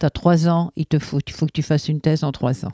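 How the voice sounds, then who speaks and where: A woman's very deep, low voice, dark and mellow in tone, stays monotone and flat in a very clean, silent recording with a dry, close sound and no echo. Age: 60s. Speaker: bereaved mother. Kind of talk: testimony. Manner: halting.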